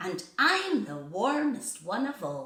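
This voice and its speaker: Putting on a character voice, a woman speaks high and fairly slowly, her pitch swinging very widely. A slight echo is present. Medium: read story.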